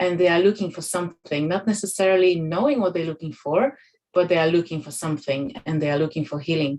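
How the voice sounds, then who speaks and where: A woman with a Polish accent speaks at a fairly low pitch. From Poland. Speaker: holistic healing practitioner. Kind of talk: panel discussion.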